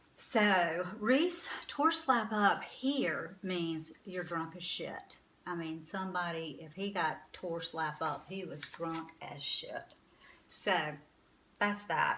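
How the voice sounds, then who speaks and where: Speaking very slowly with an American accent, a woman shows ordinary pitch variation and big swings in loudness, and the room echo is audible. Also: medium pitch for a woman. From North Carolina, Winston-Salem. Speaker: vlogger, boutique owner. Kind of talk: casual talk to camera.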